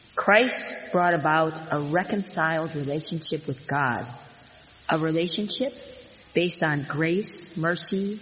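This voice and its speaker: Speech comes at a fairly slow pace. There is noticeable background noise. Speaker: pastor. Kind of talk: sermon.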